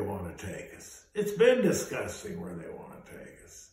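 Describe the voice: A man with fairly low pitch talks at a fairly slow pace, his pitch swinging very widely. Strong room echo surrounds his voice. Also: slightly mellow tone.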